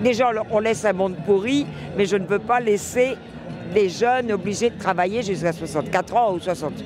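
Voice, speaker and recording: With music in the background, the speech keeps a moderate pace and ordinary pitch variation. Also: man, high pitch for a man. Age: 70s. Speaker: retiree. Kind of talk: street interview.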